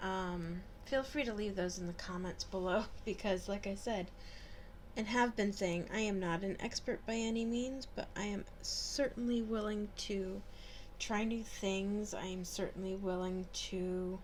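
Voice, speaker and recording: With audible room echo, a woman of medium pitch talks at a fairly slow pace with fairly even intonation. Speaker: beauty and paganism vlogger. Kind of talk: makeup tutorial with commentary.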